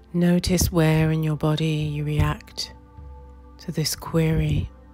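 Very slow speech from a woman, music playing behind. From New Zealand. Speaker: meditation guide. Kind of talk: guided meditation. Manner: slow, soft-spoken.

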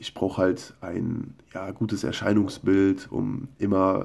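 Against a quiet background, a man speaks in a fairly low pitch with fairly even intonation. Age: 20s. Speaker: video blogger. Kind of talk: casual monologue and reading his own posts aloud. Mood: earnest, personal confession. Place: home room. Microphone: phone near.

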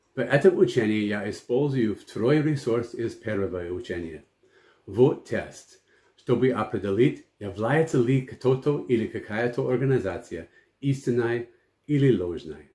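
A man with an English accent talks at a medium pitch and a fairly slow pace, his tone dark, mellow and somewhat breathy. His pitch variation is ordinary, while his loudness swings widely. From United States. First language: English (speaking Russian). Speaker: pastor and missionary. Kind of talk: Bible teaching.

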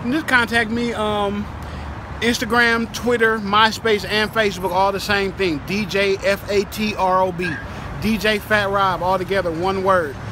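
A man with an American accent projects a raised, high-pitched voice at a fairly slow pace and with fairly even intonation. The sound is dry with no echo, though background noise is noticeable. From California, Bay Area; California. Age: 30s. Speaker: DJ and music producer; DJ. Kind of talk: street interview. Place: street.

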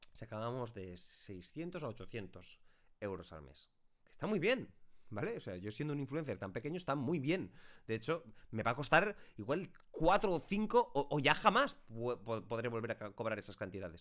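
A man speaks at a moderate pace, his pitch swinging very widely and his loudness shifting greatly. He leaves long, frequent pauses against a quiet background. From Spain. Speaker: YouTuber and streamer; YouTuber, streamer. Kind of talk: casual talk to camera, answering viewer questions. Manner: chatty, long-winded. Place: home room.

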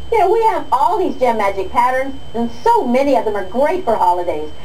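Over noticeable background noise, a woman with a high pitch speaks at a moderate pace in an upbeat, enthusiastic tone with very wide pitch swings. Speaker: infomercial host. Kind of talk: infomercial sales pitch.

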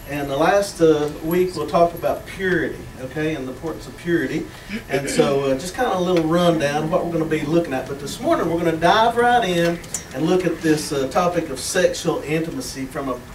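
This man's voice sits high for a man, with light background noise and audible echo in the room. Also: ordinary pitch variation. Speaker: pastor. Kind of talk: sermon. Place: church. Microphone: camera far.

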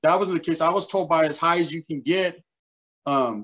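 Against a quiet background, a man with an American accent talks at a moderate pace, his fairly high pitch showing ordinary variation. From Northern California (Merced County); Northern California. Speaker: YouTuber, former gang member; interview guest. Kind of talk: casual interview. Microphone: webcam.

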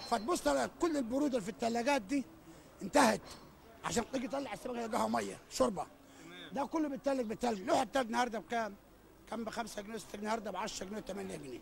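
A man's extremely high voice at a very fast pace, dry with no echo, over light background noise. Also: lively intonation. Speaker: fish market vendor. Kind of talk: street interview answer. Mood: complaining, agitated. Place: market. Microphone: handheld.

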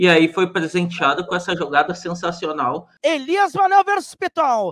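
A man speaks with very wide pitch swings. The sound is dry with no echo. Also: quiet background. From Brazil. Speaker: sports commentator. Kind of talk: live sports commentary. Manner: excitable, loud. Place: home room. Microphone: studio mic.

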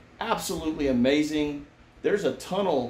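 A man's fairly high voice at a moderate pace, with light background noise and audible room echo. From Kentucky. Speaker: gardening vlogger, army veteran; family vlogger. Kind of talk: travel vlog, casual chat. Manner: animated.

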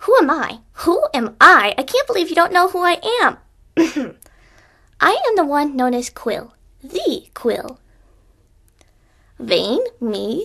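Using a put-on character voice, a woman speaks fairly slowly in a raised, projected voice at an extremely high pitch, with very wide pitch swings and long, frequent pauses. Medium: voice reel. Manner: haughty, indignant.

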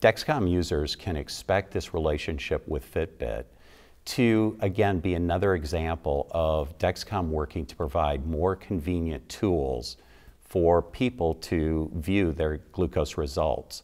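A man's very deep, low pitch with ordinary pitch variation, at a fairly slow pace against a quiet background. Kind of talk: interview answer. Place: studio. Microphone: lapel.

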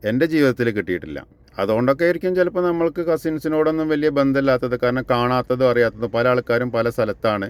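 In a normal speaking voice, a man talks at a medium pitch with ordinary pitch variation, the sound dry and close with no echo. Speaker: home construction vlogger. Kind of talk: casual chat.

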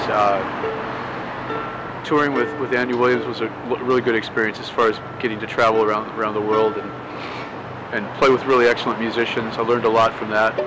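Amid noticeable background noise, a man with an American accent talks at a fairly quick pace. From Southern California. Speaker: street musician, violinist. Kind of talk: interview answer. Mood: relaxed, reflective. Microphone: lapel.

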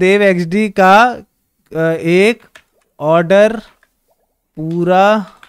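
Long, frequent pauses mark the speech of a man with a high pitch. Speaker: gaming streamer. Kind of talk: live gameplay stream chat. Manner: animated.

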